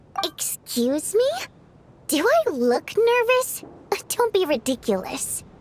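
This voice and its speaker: Using a put-on character voice, a woman talks at an extremely high pitch and a fairly slow pace, her pitch swinging very widely between long, frequent pauses. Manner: defensive, indignant.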